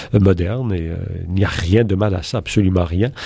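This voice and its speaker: Using a normal speaking voice, a man delivers his words at a moderate pace, his pitch varying in an ordinary way. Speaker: philosophy professor. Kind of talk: interview.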